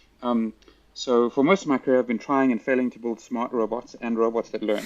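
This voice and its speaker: Here a man with a South African accent speaks at a medium pitch. His pace is fairly quick and his intonation fairly even. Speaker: robotics and AI professor. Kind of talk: casual interview conversation. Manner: halting, many fillers and restarts.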